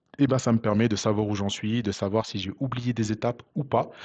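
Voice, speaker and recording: Speaking at a fairly quick pace with monotone, flat intonation, a man with a fairly low pitch is heard over a quiet background. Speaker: programming tutor. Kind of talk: tutorial. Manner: hesitant, many fillers.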